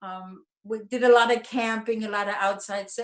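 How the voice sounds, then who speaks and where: A woman speaks with a German accent. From Germany, Nuremberg. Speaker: bereaved mother and activist. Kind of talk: interview.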